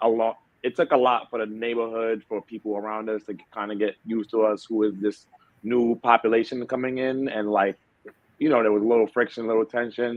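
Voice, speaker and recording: A man's medium-pitched voice with a New York accent, flat and monotone, at a fairly quick pace. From New York City, the Bronx. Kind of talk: interview. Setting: at home.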